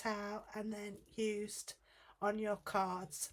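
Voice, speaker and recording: The speaker is a woman with a British accent. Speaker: guest card-making designer. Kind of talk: tutorial.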